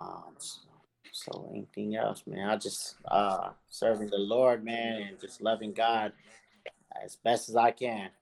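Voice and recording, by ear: With vocal fry and a fairly low pitch, a man speaks at a fairly slow pace, his pitch moving very little.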